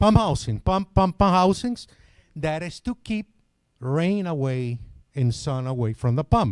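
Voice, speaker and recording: A man in a Venezuelan accent with a fairly high pitch, very wide pitch swings and a dry, close sound with no echo. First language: Spanish. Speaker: product trainer. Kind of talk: technical seminar presentation. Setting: hotel seminar with live audience. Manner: repetitive, stammering restarts.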